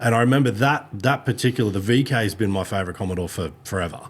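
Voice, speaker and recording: In a very clean recording with a silent background, a man with an Australian accent speaks at a fairly quick pace with a fairly low pitch and lively intonation. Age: 40s. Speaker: podcast host. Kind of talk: casual chat.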